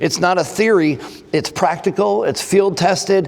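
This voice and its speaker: Against noticeable background noise, a man with an American accent speaks at a moderate pace with ordinary pitch variation. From Texas. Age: 60s. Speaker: forensic trainer, former firefighter. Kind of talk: conference presentation. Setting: conference stage with audience.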